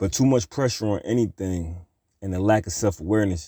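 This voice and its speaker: On a very clean recording with a silent background, this man's pitch varies in an ordinary way. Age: 30s. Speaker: podcast host. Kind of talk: casual monologue. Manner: laid-back, laughing often.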